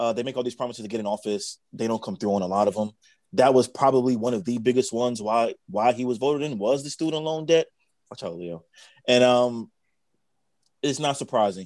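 A man with an ordinary speaking voice, medium pitch and ordinary pitch variation, at a fairly quick pace. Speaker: podcast co-host. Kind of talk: casual chat.

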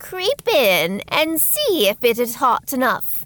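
In a put-on character voice, a woman speaks slowly at a high pitch with very wide pitch swings and a fairly bright tone, the sound dry and close with no echo.

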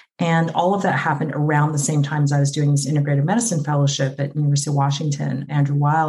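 A woman speaks with a very deep, low pitch and a dark, mellow tone. Her delivery is somewhat breathy with fairly even intonation. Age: 50s. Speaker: physician. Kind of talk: casual chat.

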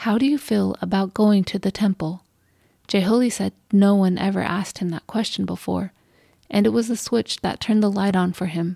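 A woman speaks at a moderate pace and medium pitch, her dark, mellow tone somewhat breathy, with fairly even intonation. The very clean recording has a dry, close sound with no echo and a silent background. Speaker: podcast host. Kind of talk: scripted narration.

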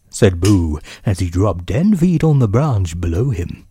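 Aloud, a plain reading

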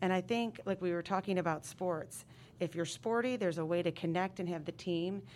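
Here a woman with an American accent has an unremarkable speaking voice, fairly low in pitch, with fairly even intonation and very even loudness. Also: fairly quick pace. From upstate New York. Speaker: middle school principal. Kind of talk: casual interview.

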